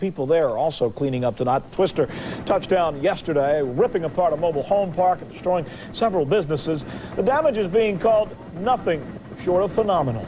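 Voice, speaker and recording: At a very fast pace and a high pitch, a man speaks with lively intonation amid noticeable background noise. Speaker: TV news anchor. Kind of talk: local TV newscast anchoring.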